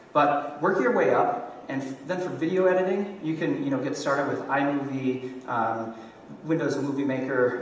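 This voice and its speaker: Amid light background noise and audible room echo, a man talks with ordinary pitch variation. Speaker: conference speaker, online entrepreneur and YouTuber. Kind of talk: conference talk. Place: stage.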